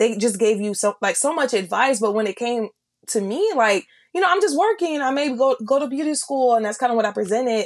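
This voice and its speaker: Talking at a fairly quick pace, a woman has a high voice. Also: lively intonation. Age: 20s. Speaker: podcast co-host. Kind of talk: casual faith-based chat.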